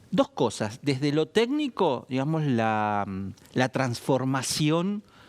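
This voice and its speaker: Speaking very slowly in a Rioplatense accent, a man with a fairly high pitch uses lively intonation, in a dry, close sound with no echo. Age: 60s. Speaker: economist. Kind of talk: interview.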